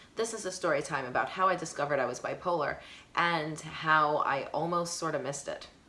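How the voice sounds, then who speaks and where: A woman with a New York accent talks at a fairly quick pace and a fairly low pitch. Room echo can be heard. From Brooklyn, New York. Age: 40s. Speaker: high school teacher and mental health vlogger. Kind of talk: personal storytime vlog. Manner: fast.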